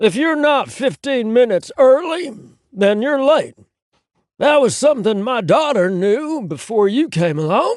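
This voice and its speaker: Putting on a character voice, a man growls at an extremely high pitch with very wide pitch swings and a moderate pace. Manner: snarling, harsh, scolding.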